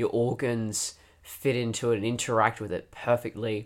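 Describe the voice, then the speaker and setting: On a very clean recording with a silent background, a man with an Australian accent speaks in a medium pitch. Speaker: podcast co-host, fiction writer. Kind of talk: casual chat.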